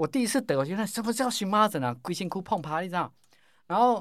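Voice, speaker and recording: Pitch swings very widely as this man talks. He keeps a fairly quick pace. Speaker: pharmacy professor and probiotics researcher. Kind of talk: interview. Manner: animated.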